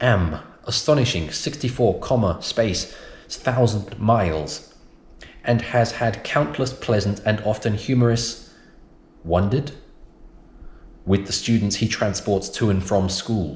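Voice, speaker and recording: A man speaks in a British accent at a fairly slow pace, with long, frequent pauses. His fairly low voice is somewhat breathy and has ordinary pitch variation. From United Kingdom. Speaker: science and EAL teacher. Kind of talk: reading aloud an exam passage.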